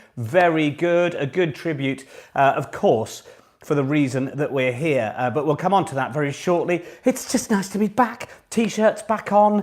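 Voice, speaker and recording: An upbeat man with a British accent, fairly high in pitch, his voice swinging very widely at a moderate pace. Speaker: online pub quiz host. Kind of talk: live quiz hosting, casual. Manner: chatty, upbeat.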